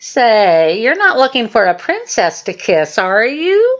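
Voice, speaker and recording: A female-sounding voice performs a put-on character voice at a fairly high pitch. The pace is fairly slow. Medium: read story.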